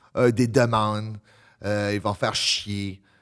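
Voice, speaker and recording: The background stays quiet while a man talks at a very slow pace. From Acadian New Brunswick (Le Goulet); New Brunswick. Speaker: professional wrestler, prison worker; podcast guest. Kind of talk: casual chat. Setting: stage with audience. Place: studio. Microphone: studio mic.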